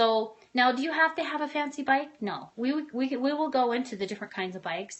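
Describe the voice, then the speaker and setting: A woman's high-pitched, animated voice. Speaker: running and triathlon coach. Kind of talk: live-stream tutorial. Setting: live video broadcast. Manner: fast.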